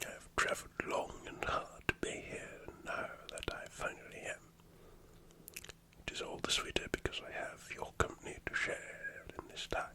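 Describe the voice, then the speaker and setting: Someone whispers at a moderate pace. Noticeable background noise can be heard. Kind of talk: ASMR role-play storytelling.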